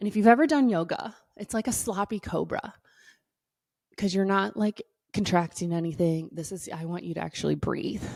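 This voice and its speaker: A woman with a normal speaking voice talks at medium pitch and a moderate pace, her intonation lively, on a very clean recording with a silent background. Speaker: pelvic health doctor and wellness coach. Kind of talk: guided exercise tutorial. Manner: upbeat, casual.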